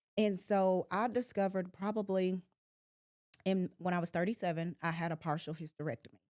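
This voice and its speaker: A woman speaks in a normal speaking voice at medium pitch, with ordinary pitch variation. Her fairly quick delivery has a dry, close sound with no echo. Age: 40s. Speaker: podcast host and realtor. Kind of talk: casual chat. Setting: studio.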